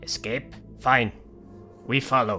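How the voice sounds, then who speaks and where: A put-on character voice over clear music in the background. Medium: actual play. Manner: terse, clipped.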